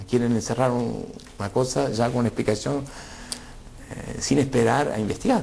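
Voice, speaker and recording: Medium pitch from a man, ordinary pitch variation and a moderate pace. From Argentina, Rafaela (Santa Fe). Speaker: former political exile. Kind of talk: interview testimony. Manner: halting, many fillers.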